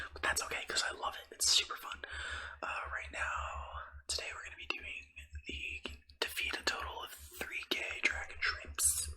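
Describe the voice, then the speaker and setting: Noticeable background noise fills the recording. Over it, a man whispers. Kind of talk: ASMR gaming ramble. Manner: whispered; rambling, casual.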